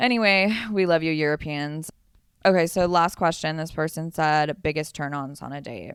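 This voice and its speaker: In a very clean recording with a silent background, a woman with a Southern Californian accent talks at a moderate pace, her very deep, low voice showing ordinary pitch variation and big swings in loudness. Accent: Valley Girl. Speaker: podcast co-host. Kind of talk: casual chat. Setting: hotel room.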